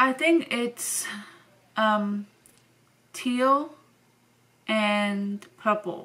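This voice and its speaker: With a non-native accent, a woman speaks at a fairly high pitch and with ordinary pitch variation. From Venezuela. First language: Spanish and German. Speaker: vlogger. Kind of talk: casual Q&A vlog. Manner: casual, hesitant with fillers.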